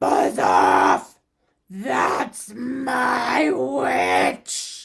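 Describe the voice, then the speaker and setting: A man puts on a character voice that is high-pitched and shrill. It sounds raspy, croaky and growling. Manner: gruff, aggressive.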